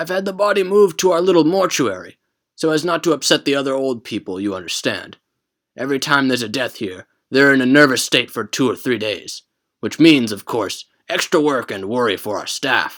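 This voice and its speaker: In a very clean recording with a silent background, a man does a put-on character voice at a medium pitch and fairly quick pace, with very wide pitch swings. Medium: read story. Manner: formal, polite.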